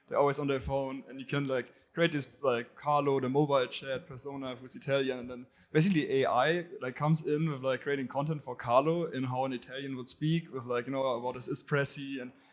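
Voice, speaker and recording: A man with a German accent speaks fairly quickly in a fairly high voice with hardly any pauses. His intonation is fairly even, but his loudness swings widely. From Germany. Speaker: startup founder, panelist. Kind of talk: panel discussion.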